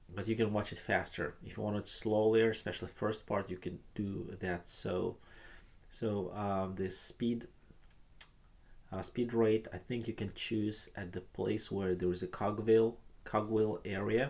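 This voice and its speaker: A man speaks with a Russian accent. His pace is fairly slow. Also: fairly low pitch for a man, fairly even intonation. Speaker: painting teacher. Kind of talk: live online art class. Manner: halting.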